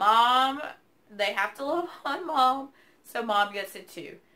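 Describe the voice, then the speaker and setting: With a Southern US accent, a woman speaks with ordinary pitch variation. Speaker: keto weight loss vlogger. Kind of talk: casual vlog update. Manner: chatty, filler 'um'.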